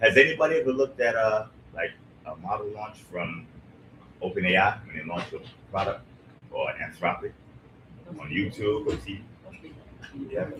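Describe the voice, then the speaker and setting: Noticeable background noise behind a man's moderate-paced speech, broken by long, frequent pauses. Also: big swings in loudness. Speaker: tech commentator. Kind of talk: live panel discussion. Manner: loud; animated. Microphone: too quiet, needs to speak louder.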